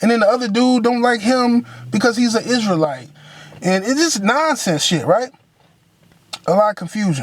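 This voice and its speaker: A man with a high pitch and lively intonation keeps his loudness very even while taking long, frequent pauses. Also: moderate pace. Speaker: vlogger telling life story. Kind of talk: personal testimony vlog. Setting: in a car. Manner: casual, conversational with fillers.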